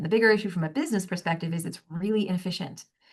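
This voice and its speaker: Against a quiet background, a woman talks at a very fast pace in a somewhat breathy voice. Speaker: human resources director. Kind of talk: interview.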